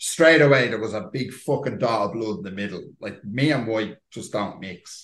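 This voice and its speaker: A normal speaking voice, fairly quick, its pitch varying in an ordinary way. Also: man. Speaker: podcast host and editor. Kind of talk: casual chat.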